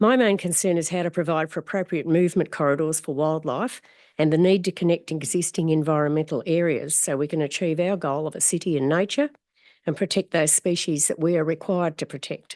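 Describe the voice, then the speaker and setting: In an Australian accent, a woman talks at a fairly quick pace, fairly low in pitch, with ordinary pitch variation. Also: dry, close sound with no echo. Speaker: community advocate. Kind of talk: public submission at council meeting. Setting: council chamber. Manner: formal.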